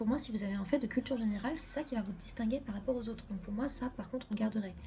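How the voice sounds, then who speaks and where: Somewhat breathy with a dark, mellow tone, a woman speaks at a fairly high pitch with fairly even intonation. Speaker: medical student youtuber. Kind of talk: casual advice video. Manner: fast; hesitant fillers.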